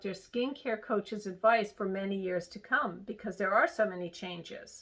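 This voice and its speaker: With ordinary pitch variation and a medium pitch, a woman speaks in an unremarkable speaking voice. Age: 60s. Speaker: skincare instructor. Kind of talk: lecture.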